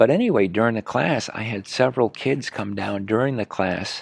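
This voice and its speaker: Moderate pace from a man, quiet background around him. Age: 60s. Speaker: horse riding trainer. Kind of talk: interview. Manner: halting, repeats words.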